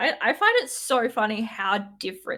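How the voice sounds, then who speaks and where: A woman speaks at a very slow pace in a Queensland accent. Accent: Queensland Australian. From Australia, Queensland border. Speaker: tabletop game player. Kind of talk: casual chat.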